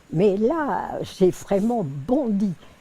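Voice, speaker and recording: A woman speaks with a fairly high pitch and a dark, mellow tone. Her intonation is lively. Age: 80s+. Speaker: woman who witnessed women's first vote in France. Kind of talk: interview answer.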